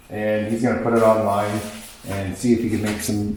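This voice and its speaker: Audible room echo and noticeable background noise surround a man speaking with a Canadian accent. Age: 30s. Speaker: car painter and restorer. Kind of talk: casual chat.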